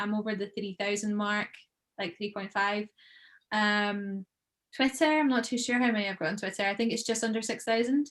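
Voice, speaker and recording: In a Scottish accent, a woman talks at a fairly quick pace. Her fairly high voice keeps a fairly even intonation. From Scotland (Troon, Ayrshire). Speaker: professional golfer and content creator. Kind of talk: podcast interview.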